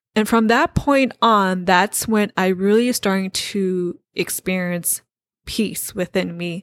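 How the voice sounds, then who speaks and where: Very slow speech from a woman at medium pitch with ordinary pitch variation, with an American accent, in a dry, close sound with no echo. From United States, Hmong American family. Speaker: podcast host. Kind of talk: solo podcast monologue.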